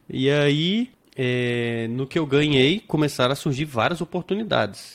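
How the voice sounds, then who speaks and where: This man's delivery is fairly slow, and his pitch varies in an ordinary way. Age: 30s. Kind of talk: casual interview with personal testimony.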